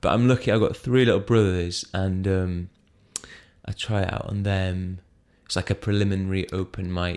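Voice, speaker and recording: In a British accent, a man speaks with a very deep, low voice. His intonation is flat and monotone, his pace moderate. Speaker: stand-up comedian. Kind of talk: casual chat. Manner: quiet.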